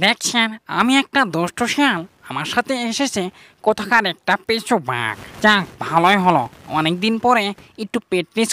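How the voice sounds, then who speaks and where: A female-sounding voice performs a cartoonish character. The pace is moderate. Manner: comic, chatty.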